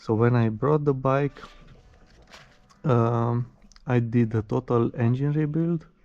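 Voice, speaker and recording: Dark and mellow in tone, a man speaks very slowly at a medium pitch. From Romania. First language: Romanian. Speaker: motorcycle reviewer. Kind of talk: product review. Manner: halting, many fillers.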